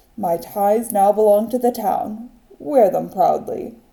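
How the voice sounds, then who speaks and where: Using a put-on character voice, a woman speaks at a fairly high pitch and a fairly slow pace with lively intonation. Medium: read story. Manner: earnest, warm.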